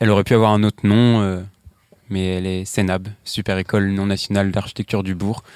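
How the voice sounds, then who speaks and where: Speaking at a fairly quick pace, a man with a fairly low pitch keeps his intonation monotone and flat in a dry, close sound with no echo. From Brittany, Morbihan. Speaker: architecture graduate. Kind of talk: panel discussion. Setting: outdoors.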